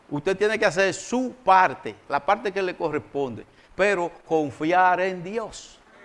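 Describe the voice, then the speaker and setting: He speaks with a high pitch for a man. His pitch variation is ordinary. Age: 60s. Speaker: pastor. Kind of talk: sermon.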